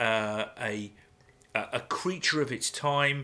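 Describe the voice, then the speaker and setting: Bright and sharp in tone, this voice with an English accent has lively intonation on a very clean recording with a silent background. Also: man. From England. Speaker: podcast co-host. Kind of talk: casual chat.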